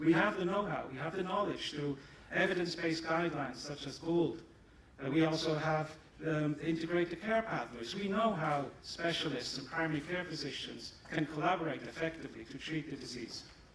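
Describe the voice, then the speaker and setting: In a German accent, a man speaks at a fairly quick pace. Noticeable background noise and audible room echo are present. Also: fairly high pitch for a man, ordinary pitch variation. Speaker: pharmaceutical company executive. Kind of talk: conference presentation.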